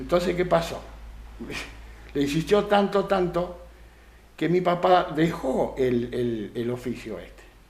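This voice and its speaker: At a very slow pace with long, frequent pauses, the speaker uses lively intonation and big swings in loudness in a Rioplatense accent, with audible room echo. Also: man, high pitch for a man. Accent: Argentine Rioplatense Spanish. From Argentina, Santa Fe province (San Carlos Centro). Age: 70s. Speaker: retired dairy farmer and craftsman. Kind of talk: radio interview. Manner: hesitant, many fillers.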